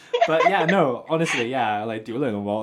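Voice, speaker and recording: Amid noticeable background noise, a man with a British accent speaks at a medium pitch and moderate pace. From UK. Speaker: podcast host. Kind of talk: casual chat.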